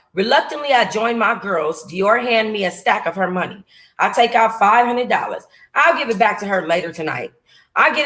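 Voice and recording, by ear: Reading aloud in a natural voice, with ordinary pitch variation, in a quiet background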